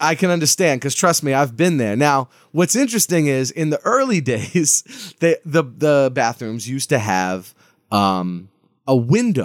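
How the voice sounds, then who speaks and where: In a very clean recording with a silent background and a dry, close sound with no echo, a man with an American accent talks at a moderate pace, his fairly high pitch swinging very widely. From Massachusetts (Lawrence). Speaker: funk keyboardist and author. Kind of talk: casual chat.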